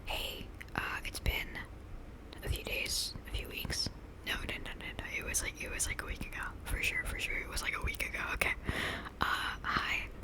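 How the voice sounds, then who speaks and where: Someone whispers at a moderate pace, leaving long, frequent pauses. Noticeable background noise runs underneath. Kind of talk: casual ASMR ramble about Pokemon.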